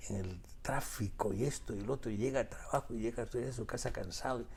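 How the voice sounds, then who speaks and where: Somewhat breathy, a man with a Peruvian accent speaks with ordinary pitch variation. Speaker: author. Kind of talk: interview. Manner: halting, many repetitions.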